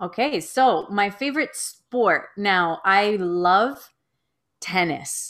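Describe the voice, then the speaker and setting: A woman speaks very slowly with lively intonation, in a Canadian accent. The recording is very clean, with a silent background. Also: medium pitch for a woman. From Toronto, Canada. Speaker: middle school teacher and podcaster. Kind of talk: casual interview.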